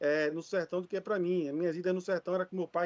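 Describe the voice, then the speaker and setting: A man speaks very fast at a high pitch in a monotone, flat intonation. The sound is dry and close, with no echo. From Brazil, Recife (Pernambuco), Northeast. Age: 40s. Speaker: regional government consortium representative. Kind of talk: conference panel talk. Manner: halting, with fillers.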